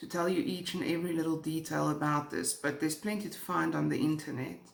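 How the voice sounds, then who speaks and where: With a South African accent, a woman talks at a fairly quick pace over noticeable background noise. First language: Afrikaans. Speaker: true crime YouTuber. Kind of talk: true crime storytelling.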